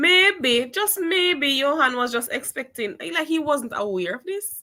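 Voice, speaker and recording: At a very slow pace, a woman projects a high, bright, sharp voice in very wide pitch swings, on a very clean recording with a silent background. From Jamaica. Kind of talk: casual chat.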